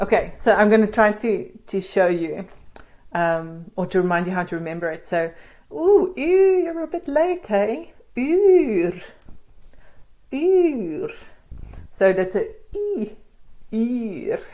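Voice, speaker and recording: A woman speaks at a very slow pace with a dark, mellow tone, her pitch swinging very widely between long, frequent pauses. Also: fairly high pitch for a woman. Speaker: language teacher. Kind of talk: tutorial.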